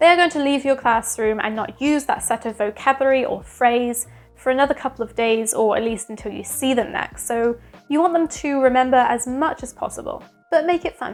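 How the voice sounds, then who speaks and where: A woman's high voice at a fairly quick pace, with ordinary pitch variation and music in the background. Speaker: former English teacher and vlogger. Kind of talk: advice vlog.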